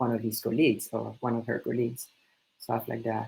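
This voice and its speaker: Vocal fry from a man with a French accent, medium pitch, monotone, flat intonation. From French-speaking country. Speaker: student club leader. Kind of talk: introductory session presentation. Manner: hesitant, many fillers.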